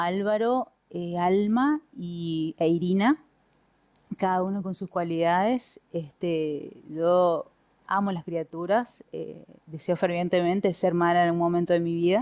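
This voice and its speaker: Against a quiet background, a woman talks at a very slow pace in a fairly low pitch. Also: ordinary pitch variation. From Argentina, Chaco (Resistencia); Chaco, Argentina. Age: 40s. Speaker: politician; candidate. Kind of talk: interview. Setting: at home. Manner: halting. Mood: warm, reflective. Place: home room. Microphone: headset.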